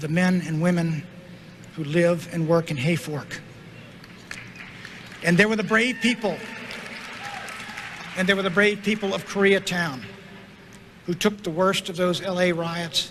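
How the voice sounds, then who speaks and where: Over crowd noise in the background, a man with a high voice speaks at a moderate pace, leaving long, frequent pauses. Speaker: politician giving a convention speech. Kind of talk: political convention speech.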